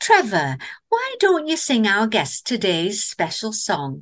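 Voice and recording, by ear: A woman puts on a character voice in a Northern English accent, at medium pitch with a fairly bright tone. She speaks slowly, her pitch swinging very widely.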